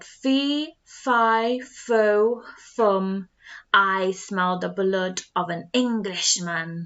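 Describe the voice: A woman puts on a booming character voice at a medium pitch, speaking at a very slow pace.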